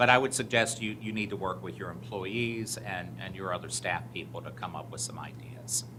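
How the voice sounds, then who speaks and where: The recording carries audible room echo. A man talks at a medium pitch. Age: 60s. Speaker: audit committee member presenting to school board. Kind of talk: formal report at board meeting.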